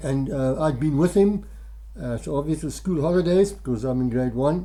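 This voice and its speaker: Noticeable background noise fills the recording. The talking proceeds at a moderate pace. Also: man. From Zimbabwe (former Rhodesia), Afrikaans family. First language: Afrikaans. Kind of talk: personal storytelling devotional. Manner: hesitant, many fillers.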